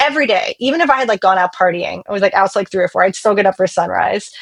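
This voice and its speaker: A woman with an American accent talks in an animated tone at a medium pitch. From US, Pittsburgh area (North Hills). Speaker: musician and songwriter. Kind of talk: casual interview chat.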